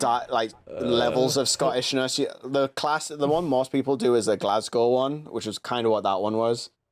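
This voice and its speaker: A man with a Geordie accent speaks at a medium pitch. He talks with hardly any pauses. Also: ordinary pitch variation, moderate pace. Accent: loose Geordie. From northeast England (Newcastle area). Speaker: podcast host. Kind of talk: casual chat. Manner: animated.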